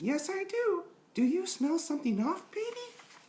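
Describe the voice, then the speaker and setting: Using a put-on character voice, a man talks at a moderate pace in a squeaky, extremely high pitch. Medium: read story.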